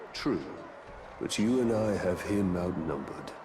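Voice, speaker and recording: A put-on character voice moves at a moderate pace. Loud background noise runs underneath. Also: man, fairly low pitch for a man. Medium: video game. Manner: calm, grim.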